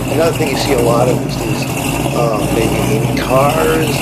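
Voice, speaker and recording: A man speaks over loud background noise. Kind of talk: casual vlog commentary. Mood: enthusiastic, admiring. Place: street. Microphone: phone near.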